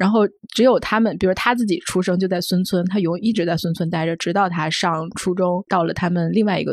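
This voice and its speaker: The speech has a fairly quick pace and ordinary pitch variation. Overall it's a plain, everyday voice. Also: woman. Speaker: magazine journalist. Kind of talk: casual discussion.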